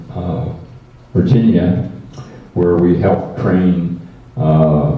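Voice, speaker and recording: A man talks at a very slow pace with a very deep, low pitch and lively intonation. The recording has audible room echo and noticeable background noise. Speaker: war veteran. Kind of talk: testimony. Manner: halting.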